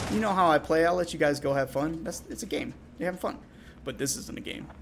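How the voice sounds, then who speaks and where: A man with vocal fry and a fairly high pitch talks at a very fast pace with lively intonation. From England. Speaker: esports caster. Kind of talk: live commentary.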